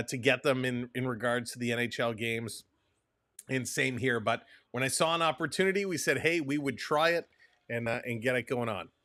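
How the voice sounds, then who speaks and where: Enthusiastic male voice at medium pitch, bright and sharp in tone, fairly quick, with ordinary pitch variation on a very clean recording with a silent background. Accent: Canadian. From Canada. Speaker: hockey broadcaster. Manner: enthusiastic, conversational.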